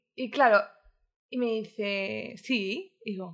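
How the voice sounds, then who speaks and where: Her voice is fairly high, with a bright, sharp tone and ordinary pitch variation, as the woman speaks. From Madrid, Spain, with Andalusian family. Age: 20s. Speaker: podcast guest, delivery worker and nanny. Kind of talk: casual interview chat. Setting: home studio.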